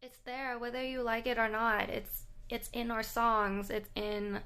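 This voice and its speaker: Her voice fairly high, a woman speaks with monotone, flat intonation. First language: Thai. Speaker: English language vlogger. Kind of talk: casual vlog talk to camera.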